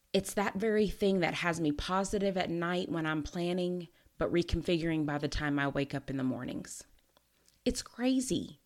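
A woman with a fairly low voice and lively intonation speaks at a moderate pace on a very clean recording with a silent background. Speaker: podcast host. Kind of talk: solo motivational podcast monologue. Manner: energetic, competitive tone.

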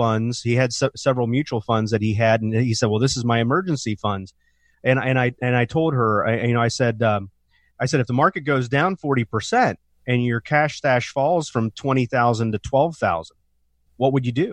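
In a plain, everyday voice, a man talks at a moderate pace and medium pitch with ordinary pitch variation and very even loudness, the sound dry and close with no echo against a quiet background. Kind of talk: infomercial-style sales pitch urging listeners to call for a free retirement review. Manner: urgent, pushy call-to-action, pitchy and promotional.

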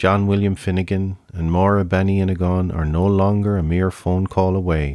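A man with an Irish accent talks at a very deep, low pitch with monotone, flat intonation. His pace is moderate, his loudness very even, with hardly any pauses. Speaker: podcast host. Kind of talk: scripted narration.

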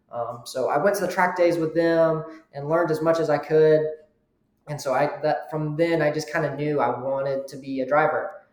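With an American accent, a man speaks at a moderate pace in a fairly high pitch with fairly even intonation. His loudness swings widely, and audible room echo surrounds him. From US South. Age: young. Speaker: amateur racing driver. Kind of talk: interview.

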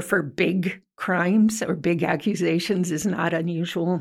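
A woman with an American accent talks at a fairly slow pace in a medium pitch, a plain, everyday voice. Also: very clean recording, silent background. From Ventura County, California. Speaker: newspaper editor. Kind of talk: interview.

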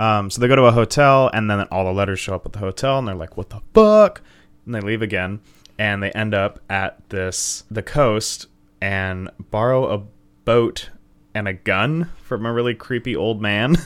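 A man's fairly low, ordinary speaking voice at a moderate pace, in a very clean recording with a silent background. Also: ordinary pitch variation. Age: 20s. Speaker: comedy podcast co-host. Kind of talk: casual chat.

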